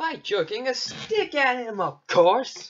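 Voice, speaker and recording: A man's bored tone with very wide pitch swings, music in the background. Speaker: movie reviewer. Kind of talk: commentary over film clips. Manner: sarcastic, bored tone.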